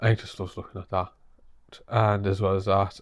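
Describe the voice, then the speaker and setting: A man's fairly low, monotone voice in a northeast English accent, with flat intonation, on a very clean recording with a silent background. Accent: northeast English (Teesside). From northeast England, Middlesbrough. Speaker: vlogger. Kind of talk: casual vlog update.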